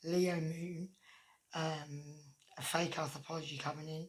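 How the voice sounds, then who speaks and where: Her voice is very deep and low in pitch for a woman, somewhat breathy, with monotone, flat intonation. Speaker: tarot reader. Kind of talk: tarot reading. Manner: hesitant with fillers.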